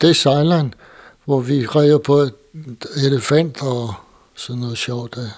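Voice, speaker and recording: A man talks very slowly in a fairly high voice with fairly even intonation. He leaves long, frequent pauses. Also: big swings in loudness. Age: 80s+. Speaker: former ship's boy, war-era veteran. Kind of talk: testimony. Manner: halting.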